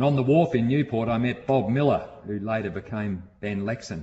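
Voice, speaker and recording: A man with an Australian accent talks at a moderate pace in a medium, somewhat breathy voice. His pitch varies in an ordinary way. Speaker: sailing storyteller. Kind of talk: scripted narration.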